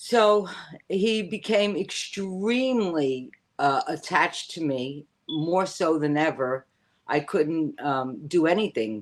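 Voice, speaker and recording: A Bronx accent at a very slow pace, with very wide pitch swings. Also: woman, fairly low pitch for a woman. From New York, the Bronx. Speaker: witch and spiritual teacher. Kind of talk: casual interview chat.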